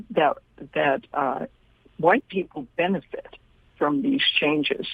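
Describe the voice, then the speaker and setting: Her pitch swinging very widely, a woman speaks with an American accent. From US Midwest (Kansas City, Missouri). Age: 80s+. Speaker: author and activist. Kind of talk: radio interview. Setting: phone call.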